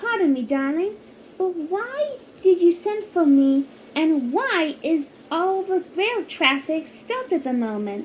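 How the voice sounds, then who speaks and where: A put-on character voice, female-sounding and extremely high, at a fairly slow pace over clear background noise. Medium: machinima. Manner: genteel, affected.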